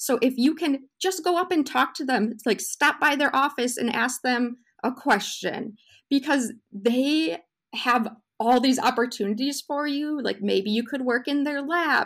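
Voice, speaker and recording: Recorded very cleanly against a silent background, a woman speaks at a high pitch. She has an Upper Midwest accent and talks at a fairly slow pace. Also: ordinary pitch variation. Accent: Upper Midwest American. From Wisconsin, US. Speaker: food scientist, postdoc. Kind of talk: casual interview.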